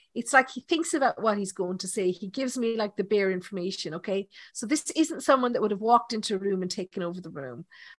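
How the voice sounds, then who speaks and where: A woman's medium-pitched voice in an Irish accent, very fast with hardly any pauses, lively intonation, big swings in loudness, and a dry, close sound with no echo. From Ireland. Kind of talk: live mediumship demonstration. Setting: online live session.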